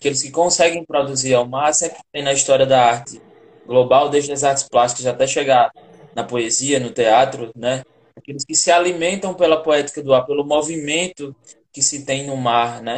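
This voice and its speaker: At a moderate pace, a man with an unremarkable speaking voice talks in a fairly high pitch with fairly even intonation. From Brazilian northeast, inland Rio Grande do Norte (sertão). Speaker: theatre artist hosting a live interview series. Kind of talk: casual interview. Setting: online live video call.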